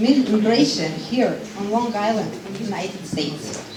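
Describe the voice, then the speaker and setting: A woman speaks at a fairly slow pace in a Ukrainian accent. Audible room echo and noticeable background noise are present. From Ukraine, Odessa. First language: Ukrainian or Russian. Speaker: refugee support worker. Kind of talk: public speech.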